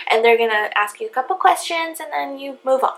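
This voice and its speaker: Soft-spoken delivery at a fairly quick pace. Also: woman. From Hawaii. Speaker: vlogger. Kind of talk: story time vlog.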